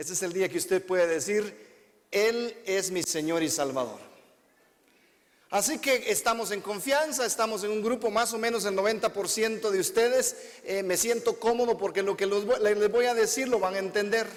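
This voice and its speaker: This man has a high-pitched voice. His pitch variation is ordinary. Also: moderate pace. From Guatemala. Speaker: visiting preacher. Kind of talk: sermon. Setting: church with congregation.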